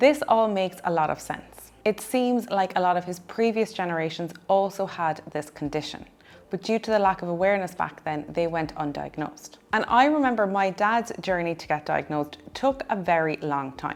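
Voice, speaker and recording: Lively in intonation, a woman speaks at medium pitch with an Irish accent. She keeps a moderate pace with hardly any pauses. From Ireland. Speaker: dietitian. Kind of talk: personal story vlog.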